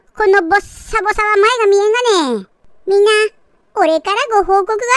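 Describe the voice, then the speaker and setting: A woman speaks at a moderate pace in a put-on character voice. Her pitch is extremely high. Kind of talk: comedic pet dubbing.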